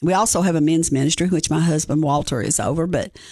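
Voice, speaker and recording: A woman's fairly low, dark, mellow voice with ordinary pitch variation, over a quiet background. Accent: Appalachian Tennessee. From East Tennessee (Greene County). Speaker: pastor. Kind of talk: sermon-style devotional; radio interview.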